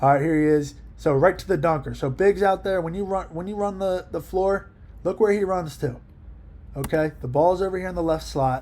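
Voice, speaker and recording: An animated man with a high pitch, ordinary pitch variation and a fairly quick pace. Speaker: basketball coach. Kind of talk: film breakdown commentary. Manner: fast.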